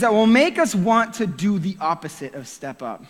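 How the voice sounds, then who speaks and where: A loud man at a moderate pace, with lively intonation, an animated tone and noticeable background noise. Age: 30s. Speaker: youth pastor. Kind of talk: sermon.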